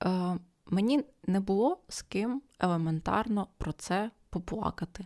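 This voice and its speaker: A woman at medium pitch, fairly slow pace and ordinary pitch variation, in a dry, close sound with no echo. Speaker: ASMR podcaster. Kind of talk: ASMR podcast talk for sleep. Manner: half-whispered, soft.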